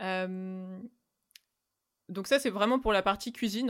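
Medium-pitched woman's speech at a moderate pace, fairly even in intonation, on a very clean recording with a silent background. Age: 30s. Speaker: vegan caterer. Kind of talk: interview.

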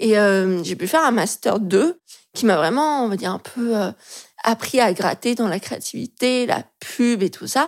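Fairly slow and lively in intonation, a woman talks in an ordinary speaking voice at a fairly high pitch on a very clean recording with a silent background. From France, Lyon. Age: 20s. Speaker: illustrator and graphic designer. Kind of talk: casual interview chat.

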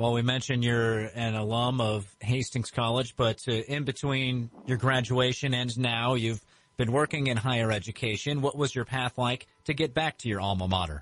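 A man speaks with a normal speaking voice at medium pitch and a moderate pace. His intonation is fairly even and his loudness very even. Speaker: radio interviewer. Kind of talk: interview. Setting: radio studio.

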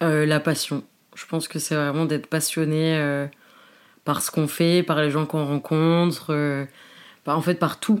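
A woman's very deep, low pitch in a monotone, flat delivery at a fairly slow pace, with long, frequent pauses, on a very clean recording with a silent background. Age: 20s. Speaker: social media comedian. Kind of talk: casual chat.

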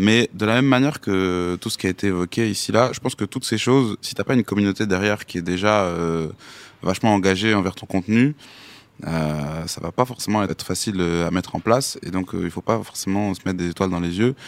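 The dry, close sound with no echo carries a man's fairly low voice at a fairly quick pace with ordinary pitch variation. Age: young. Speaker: hip-hop artist. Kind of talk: podcast interview.

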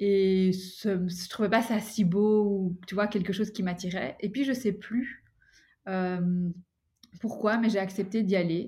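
A woman talks at a very slow pace in a medium pitch. Her voice is somewhat breathy, with fairly even intonation. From Belgium, Brussels. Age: 30s. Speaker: adoptee and coach. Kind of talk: testimony.

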